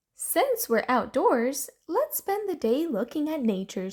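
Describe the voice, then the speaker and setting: A woman's put-on character voice, high-pitched and fairly slow, with very wide pitch swings. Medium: read story.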